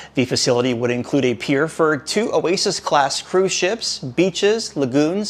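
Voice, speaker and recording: Through noticeable background noise, a man with a fairly high pitch talks at a moderate pace with lively intonation. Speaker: cruise news host. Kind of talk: news reading. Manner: quiet; soft-spoken.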